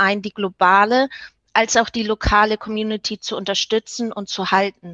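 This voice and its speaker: A woman speaks at a fairly slow pace with fairly high pitch and monotone, flat intonation. The sound is dry and close with no echo. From Germany, Hamburg. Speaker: hospitality professional and network leader. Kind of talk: interview. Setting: video call.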